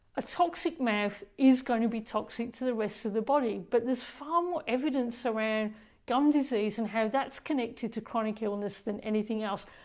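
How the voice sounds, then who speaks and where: In a very clean recording with a silent background, a woman with an Australian accent talks at a fairly high pitch and a moderate pace, with hardly any pauses and ordinary pitch variation. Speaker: dentist. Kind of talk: casual talk to camera about health.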